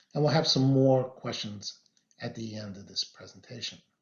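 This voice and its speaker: A somewhat breathy man talks at a moderate pace with ordinary pitch variation. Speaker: physician presenter. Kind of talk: webinar presentation. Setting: virtual webinar. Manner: soft-spoken.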